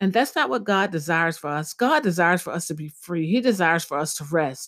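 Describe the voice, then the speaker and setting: Lively intonation marks a normal speaking voice on a very clean recording with a silent background. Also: woman. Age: 40s. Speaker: minister and podcast host. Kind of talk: devotional talk.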